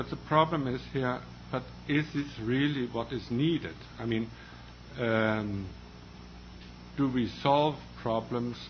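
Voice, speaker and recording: A man's somewhat breathy voice with a Danish accent, at a very slow pace with ordinary pitch variation. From Denmark. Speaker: librarian association representative, panelist. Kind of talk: panel discussion. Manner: halting.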